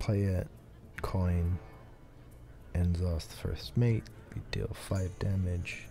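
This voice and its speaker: Over music in the background, a man with a very deep, low pitch speaks very slowly with ordinary pitch variation and long, frequent pauses. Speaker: streamer. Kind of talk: casual gameplay commentary. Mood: thoughtful, calm. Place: home room.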